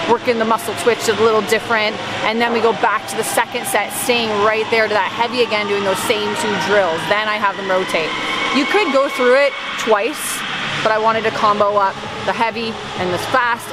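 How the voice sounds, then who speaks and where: A woman speaks at a moderate pace over loud background noise. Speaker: fitness instructor. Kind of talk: casual vlog chat. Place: gym. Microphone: headset.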